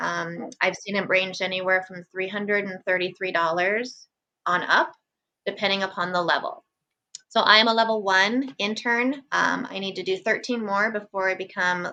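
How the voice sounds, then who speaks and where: A woman with a bright, sharp tone talks at a moderate pace, her medium pitch showing ordinary variation. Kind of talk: interview. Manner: calm.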